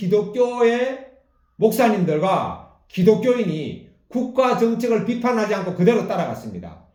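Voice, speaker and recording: Amid audible room echo, a man speaks fairly slowly at a high pitch with ordinary pitch variation. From South Korea. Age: 60s. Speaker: pastor. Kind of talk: sermon.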